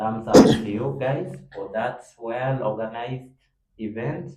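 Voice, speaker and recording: At a very slow pace, a man speaks at a medium pitch with audible room echo. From South Sudan. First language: not English. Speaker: university student, debate club member. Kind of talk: casual group discussion.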